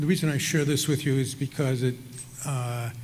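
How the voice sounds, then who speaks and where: A somewhat breathy man with an American accent, with audible room echo. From Chicago, US Midwest. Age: 70s. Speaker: retired surgeon, hall of fame inductee. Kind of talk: acceptance speech. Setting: ballroom stage with audience. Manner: hesitant, many fillers.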